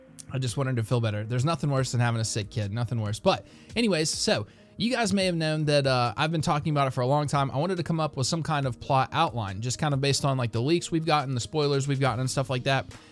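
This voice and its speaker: Over music in the background, a man with an American accent and a fairly high pitch speaks at a very fast pace with ordinary pitch variation. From US South, southern West Virginia. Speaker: YouTube TV-show commentator. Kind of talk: casual vlog commentary. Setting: home recording with child on lap.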